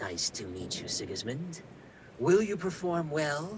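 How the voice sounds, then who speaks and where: Against clear background noise, a man puts on a character voice at a fairly high pitch and a fairly slow pace. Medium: actual play. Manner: poised, sly, measured.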